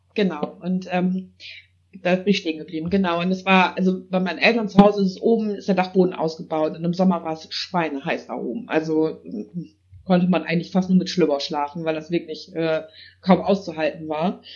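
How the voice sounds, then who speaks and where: Fairly quick and fairly low in pitch, a woman talks in an unremarkable speaking voice. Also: fairly even intonation. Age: 30s. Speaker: paranormal investigator. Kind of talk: casual chat.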